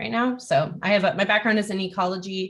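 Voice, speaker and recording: This is a woman speaking at a medium pitch. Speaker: scientific programmer, workshop instructor. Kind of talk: online workshop presentation. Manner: fast.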